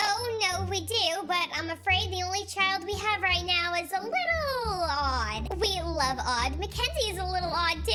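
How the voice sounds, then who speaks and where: Over loud background noise, a woman uses a put-on character voice at an extremely high pitch and a moderate pace. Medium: machinima. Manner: bubbly, upbeat.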